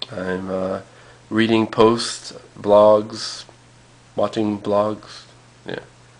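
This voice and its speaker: Very slow, monotone and flat speech from a man at a fairly low pitch, broken by long, frequent pauses, against noticeable background noise. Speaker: vlogger. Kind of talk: casual vlog. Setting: at home, alone. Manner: halting, many fillers.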